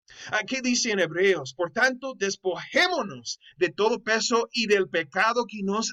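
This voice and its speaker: A man with a non-native accent, high-pitched, fairly slow, with lively intonation in a raised, projected voice and a dry, close sound with no echo. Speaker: Bible teacher. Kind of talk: online course lecture. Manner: halting.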